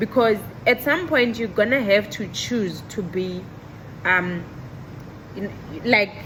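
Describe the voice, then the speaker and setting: Over noticeable background noise, a woman with a fairly high pitch and ordinary pitch variation speaks at a very slow pace with long, frequent pauses. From South Africa. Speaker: medical technologist and vlogger. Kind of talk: casual vlog monologue. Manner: loud; bubbly, animated.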